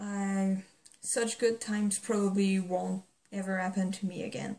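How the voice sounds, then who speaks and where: In a non-native accent, a woman speaks slowly and somewhat breathily at a medium pitch, her intonation monotone and flat. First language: not English. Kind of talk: casual talk to camera.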